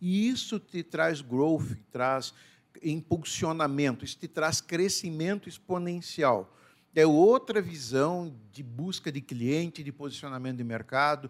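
Speaking at a very slow pace, a man with a fairly high pitch lets his loudness swing widely. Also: lively intonation, very clean recording, silent background. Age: 50s. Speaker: business founder and CEO. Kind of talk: interview conversation.

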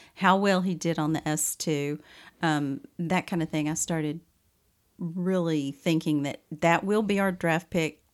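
This woman has a Southern US accent and a fairly low pitch. The recording is very clean, with a silent background. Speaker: podcast co-host. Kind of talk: casual chat.

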